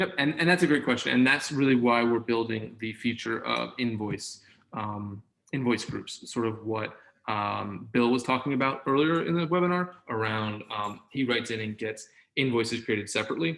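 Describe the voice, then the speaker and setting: Medium in pitch, this man's voice shows ordinary pitch variation. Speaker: software company executive presenting webinar. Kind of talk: webinar demo with Q&A. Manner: fast; enthusiastic.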